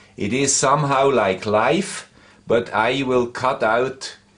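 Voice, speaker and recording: The speaker has a Swiss accent and talks at a very slow pace. The pitch varies in an ordinary way. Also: man. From Switzerland. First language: Swiss German. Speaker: electronics tech YouTuber. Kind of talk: tutorial.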